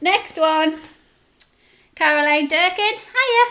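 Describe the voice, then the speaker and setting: Raised and projected, a woman's voice comes out extremely high in pitch with a bright, sharp tone. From northern England, Newcastle (Geordie). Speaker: food vlogger. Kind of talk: casual Q&A chat. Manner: chatty, informal.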